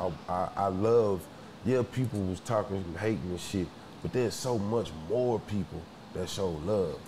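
Through audible room echo, a man with an American accent talks at a moderate pace, his fairly low pitch showing ordinary variation. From Houston, Texas. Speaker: rapper. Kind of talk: casual chat.

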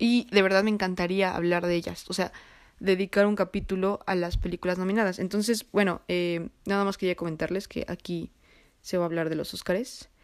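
On a very clean recording with a silent background, a woman delivers her words at a fairly quick pace in a medium-pitched, flat monotone. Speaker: podcast host. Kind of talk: solo casual monologue with film recommendations. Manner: halting, stumbles over words.

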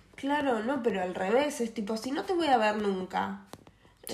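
A woman speaks at a moderate pace with very wide pitch swings. Noticeable background noise and audible room echo surround her. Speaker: podcast co-host. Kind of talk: casual chat.

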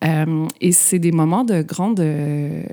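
A woman speaks in a Quebec accent with a dark, mellow tone, a fairly low pitch and ordinary pitch variation. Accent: Québécois French. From Quebec, Terrebonne (north shore of Montreal). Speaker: art historian and author. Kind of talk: interview conversation.

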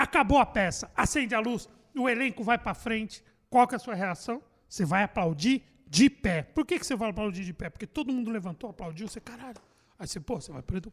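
A man's high-pitched voice with lively intonation, big swings in loudness and a fairly quick pace, on a very clean recording with a silent background. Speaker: comedian and radio host. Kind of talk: casual chat.

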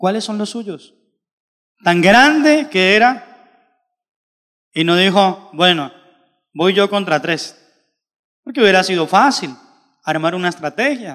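This man has a high pitch and a bright, sharp tone with lively intonation. He speaks at a very slow pace with long, frequent pauses. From Colombia. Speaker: pastor. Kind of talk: sermon.

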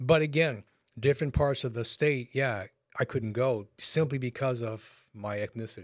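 In an American accent, a man speaks at a medium pitch and a moderate pace with ordinary pitch variation, in an unremarkable speaking voice on a very clean recording with a silent background. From Los Angeles, California. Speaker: pastor. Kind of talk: casual chat.

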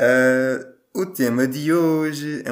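The speaker is male. His words come through noticeable background noise. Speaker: podcast host. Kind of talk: casual debate among friends.

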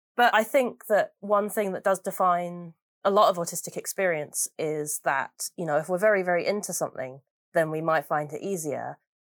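On a very clean recording with a silent background, dry and close with no echo, a woman speaks at a moderate pace in a fairly low pitch with ordinary pitch variation. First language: English and Mandarin. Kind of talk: casual interview.

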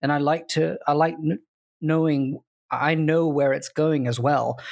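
On a very clean recording with a silent background, a man with a British accent speaks at a moderate pace. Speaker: podcast co-host. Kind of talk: casual chat.

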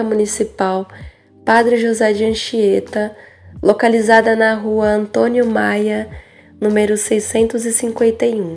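Fairly high-pitched speech from a woman in monotone, flat intonation. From São Paulo, Brazil. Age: 20s. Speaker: young cultural monitor. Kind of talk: testimony.

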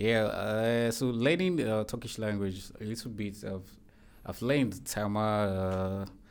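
A man speaks fairly slowly at a fairly low pitch, with ordinary pitch variation. Audible room echo surrounds his voice. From Nigeria, Niger Delta (Delta State). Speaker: master's student. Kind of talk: interview. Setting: studio.

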